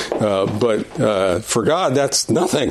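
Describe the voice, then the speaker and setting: Over noticeable background noise, a man with a medium-pitched voice speaks at a fairly slow pace. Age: 70s. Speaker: Sunday school teacher. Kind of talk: prayer; Bible lesson lecture. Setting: church classroom with audience. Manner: halting, with many fillers and repetitions.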